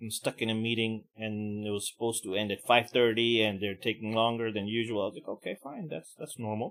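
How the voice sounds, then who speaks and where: In a normal speaking voice of medium pitch, a man talks at a fairly quick pace with hardly any pauses and fairly even intonation. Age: middle-aged. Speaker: podcast host. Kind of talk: casual rant.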